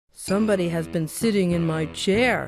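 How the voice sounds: A woman performs a put-on character voice. Her pitch sits fairly low. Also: moderate pace.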